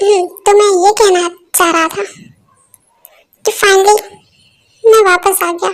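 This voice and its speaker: In a put-on character voice, a woman speaks at an extremely high pitch with monotone, flat intonation, a moderate pace and long, frequent pauses. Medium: fan dub. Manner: chatty, repetitive, playful.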